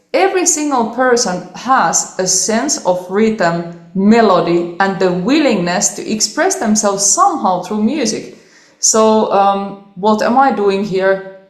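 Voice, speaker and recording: In a Finnish accent, a woman speaks at a fairly slow pace with hardly any pauses, medium pitch, lively intonation and very even loudness. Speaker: cellist. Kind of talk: interview. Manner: animated.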